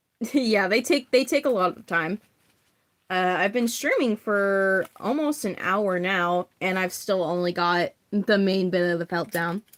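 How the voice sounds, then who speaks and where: A woman's medium-pitched voice at a fairly slow pace, with ordinary pitch variation and a dry, close sound free of echo. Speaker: livestreamer making therian masks. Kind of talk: casual livestream chat while crafting. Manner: shaky voice.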